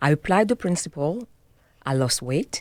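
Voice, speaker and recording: A woman's very deep, low voice in a French accent. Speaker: health and wellness coach. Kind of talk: interview. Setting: studio.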